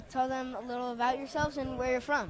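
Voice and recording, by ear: A man talks fast in an extremely high, fairly bright voice. His pitch barely moves.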